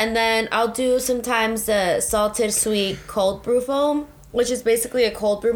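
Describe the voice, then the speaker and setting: A woman speaks at a moderate pace in a fairly high voice. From San Diego, Southern California. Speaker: podcast co-host. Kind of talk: casual chat.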